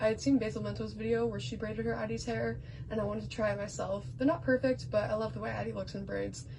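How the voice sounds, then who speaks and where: Very fast, mumbled speech from a woman, with audible room echo and noticeable background noise. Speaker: doll collector. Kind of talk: show-and-tell vlog. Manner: mumbling; halting.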